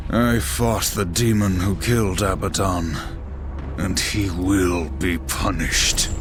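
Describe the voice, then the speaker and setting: Over loud background noise, a man does a cartoonish character voice at a very deep, low pitch and a fairly slow pace. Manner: terse, grave.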